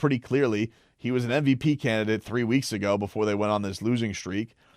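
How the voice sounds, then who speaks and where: On a very clean recording with a silent background, a man talks in an ordinary speaking voice at a fairly quick pace with ordinary pitch variation. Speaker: sports radio host. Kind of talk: casual talk to camera. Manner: conversational, opinionated.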